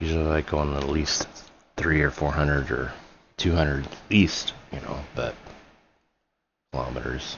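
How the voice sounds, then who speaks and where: Very deep and low, a man's voice with vocal fry and fairly even intonation moves at a moderate pace, broken by long, frequent pauses. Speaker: gaming streamer. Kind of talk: live game commentary. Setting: live stream. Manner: halting.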